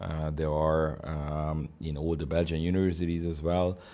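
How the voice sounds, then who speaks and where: A man speaks in a Hungarian accent with a very deep, low pitch and a dark, mellow tone. His intonation is fairly even and his pace moderate. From Hungary. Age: 50s. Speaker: ambassador. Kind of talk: interview. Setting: embassy office. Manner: halting, many fillers.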